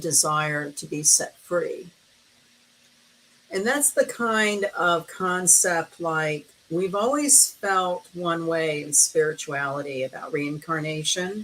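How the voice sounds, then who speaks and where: A woman with an American accent talks at a very slow pace in a fairly low pitch. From US South. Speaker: astrologer. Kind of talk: casual interview chat.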